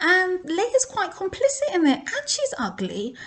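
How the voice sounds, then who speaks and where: Over a quiet background, a woman speaks at an extremely high pitch with very wide pitch swings. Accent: English. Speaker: Torah teacher. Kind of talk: casual Torah talk.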